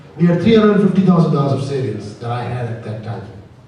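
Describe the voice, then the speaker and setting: A man with a fairly high pitch is heard amid audible room echo and noticeable background noise. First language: not English. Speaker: company founder. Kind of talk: panel discussion.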